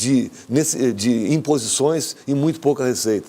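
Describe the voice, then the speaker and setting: His voice fairly high in pitch, a man speaks in a dark, mellow tone. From southern Brazil. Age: 60s. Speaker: engineer, former basketball player. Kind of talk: TV interview. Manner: halting, many false starts.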